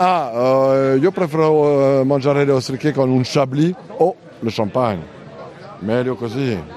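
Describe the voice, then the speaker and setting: Amid noticeable background noise, a man of medium pitch speaks at a fairly slow pace with ordinary pitch variation and long, frequent pauses. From France, Normandy. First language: French (speaking Italian). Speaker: food market vendor. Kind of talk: guided tour interview. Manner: halting.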